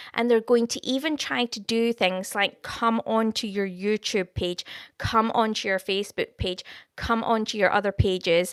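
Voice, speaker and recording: A woman speaks with a Scottish accent, her voice fairly high and her pitch moving in an ordinary way at a moderate pace. The recording is very clean with a silent background and a dry, close sound with no echo. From Scotland. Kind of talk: live stream chat with viewers, prophecy. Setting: live stream. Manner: casual, warm, conversational.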